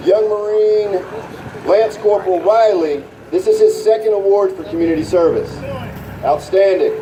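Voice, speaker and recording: A loud man with a high pitch and ordinary pitch variation talks at a moderate pace with long, frequent pauses. Noticeable background noise and audible room echo fill the recording. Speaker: youth program leader. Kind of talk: award ceremony speech. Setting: stage with audience, PA system.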